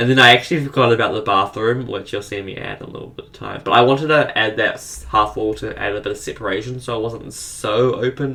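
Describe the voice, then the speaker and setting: A man speaks very fast at a medium pitch, his voice showing vocal fry and his intonation fairly even. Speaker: gaming video creator. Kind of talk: voice-over commentary on speed build. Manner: halting, stuttering.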